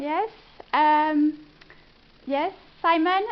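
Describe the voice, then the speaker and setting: A woman speaks with a French accent. Her pitch is extremely high. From France. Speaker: business consultant. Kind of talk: presentation. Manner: hesitant, many fillers.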